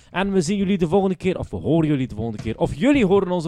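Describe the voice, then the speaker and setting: Talking at a very fast pace, a man has a dark, mellow tone. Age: 20s. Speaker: comedy podcast host. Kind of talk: casual chat.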